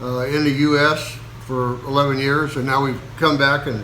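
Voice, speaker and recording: A man with an American accent speaks at a fairly high pitch in a monotone, flat intonation. Noticeable background noise and audible room echo are present. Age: 70s. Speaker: video blogger. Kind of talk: casual chat. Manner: halting.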